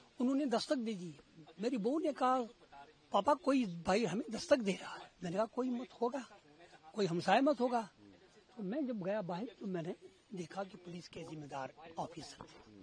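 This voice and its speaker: A man with a high pitch, an animated tone, very wide pitch swings, big swings in loudness, a moderate pace and long, frequent pauses. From Kashmir. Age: 70s. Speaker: deportee's family member. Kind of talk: street interview.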